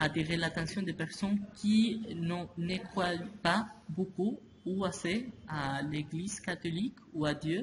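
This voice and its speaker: A high-pitched man's voice with a Spanish accent, very slow, with ordinary pitch variation and noticeable background noise. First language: Spanish (speaking French). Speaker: interviewee. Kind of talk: interview answers in a second language. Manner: halting, with repetitions and hesitations.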